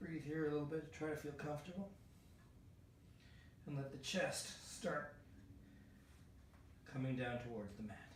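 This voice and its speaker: Speaking at a moderate pace with long, frequent pauses, a man with a fairly high pitch and ordinary pitch variation is heard over noticeable background noise and audible room echo. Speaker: yoga instructor. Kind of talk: tutorial. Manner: halting.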